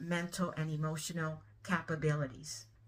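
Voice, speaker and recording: A woman talks in a somewhat breathy voice. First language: not English. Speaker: spiritual content creator. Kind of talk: monologue to camera. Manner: casual, many filler ums.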